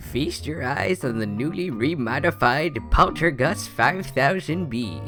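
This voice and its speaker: Over clear background music, a man does a put-on character voice at medium pitch and a fairly slow pace. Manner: folksy, jovial.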